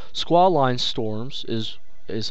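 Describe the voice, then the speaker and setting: A man's voice, with ordinary variation in pitch, is heard against noticeable background noise. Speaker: National Weather Service meteorologist. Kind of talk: weather safety briefing, scripted-sounding public information. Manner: formal, steady, instructional.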